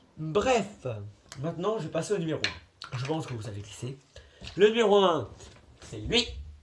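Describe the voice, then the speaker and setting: Amid noticeable background noise, a man speaks at a moderate pace with long, frequent pauses, a fairly high pitch, very wide pitch swings and big swings in loudness. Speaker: YouTuber. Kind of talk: casual vlog monologue.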